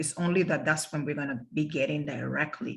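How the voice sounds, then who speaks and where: A woman speaks at a very deep, low pitch with ordinary pitch variation. Her voice is somewhat breathy. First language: Spanish. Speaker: interpreting instructor. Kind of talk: lecture. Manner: halting.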